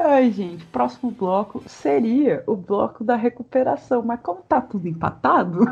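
Over noticeable background noise, a woman at a fairly high pitch speaks at a fairly slow pace with hardly any pauses, her pitch swinging very widely. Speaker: podcast host. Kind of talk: casual chat. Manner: animated.

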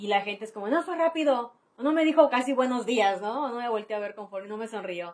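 A woman's ordinary speaking voice, fairly high in pitch, fairly quick, with lively intonation and big swings in loudness. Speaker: social media influencer. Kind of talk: casual chat.

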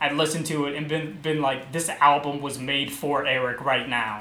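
Over noticeable background noise, a man with an American accent speaks at a fairly quick pace with fairly even intonation. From Baltimore, US. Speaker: podcast host. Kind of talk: casual chat. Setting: video call. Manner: loud.

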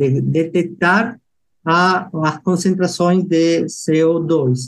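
A man with a Peruvian accent. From Peru, Lima. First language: Spanish (speaking Portuguese). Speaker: engineering researcher. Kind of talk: interview. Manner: halting.

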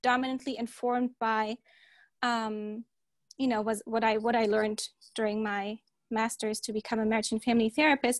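Recorded dry and close with no echo and a quiet background, a woman with a German accent speaks in a high pitch with fairly even intonation. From Germany. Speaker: podcast co-host. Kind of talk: casual chat.

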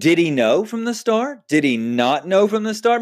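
A man with a Texan accent at a moderate pace, with very wide pitch swings, in a very clean recording over a silent background. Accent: Texan American English. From Texas. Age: 30s. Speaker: podcast host. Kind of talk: solo podcast monologue. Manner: casual, conversational with fillers.

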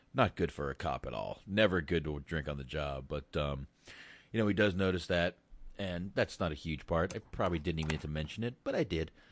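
A man with a very deep, low pitch and vocal fry talks at a fairly quick pace against a quiet background. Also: ordinary pitch variation. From US, moved from Boston at age six. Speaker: movie review podcast host. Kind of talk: casual chat.

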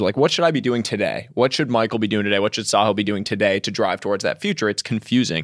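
A man with an American accent, medium pitch and a very fast pace. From United States. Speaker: writer and entrepreneur. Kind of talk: interview conversation.

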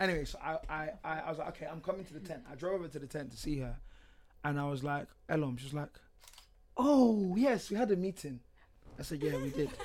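Speaking with a London accent, a man uses a fairly high pitch and lively intonation. His pace is fairly quick, broken by long, frequent pauses. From UK. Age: 20s. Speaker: podcast guest. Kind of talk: casual chat.

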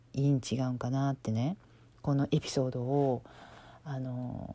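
At a fairly slow pace, a woman speaks with a very deep, low pitch and a dark, mellow tone on a very clean recording with a silent background. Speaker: podcast host, life coach. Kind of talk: casual storytelling monologue.

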